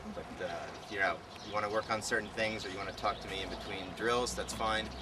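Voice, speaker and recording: A man's fairly low-pitched voice with audible room echo and noticeable background noise. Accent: American. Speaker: frisbee coach. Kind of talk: instructional talk to camp participants. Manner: fast.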